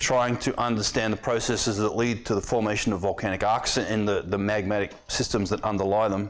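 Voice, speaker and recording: A man with an Australian accent speaks fairly quickly at a fairly low pitch. His delivery is a flat monotone at very even loudness. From eastern Australia. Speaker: professor. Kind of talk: lecture. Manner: fast; halting.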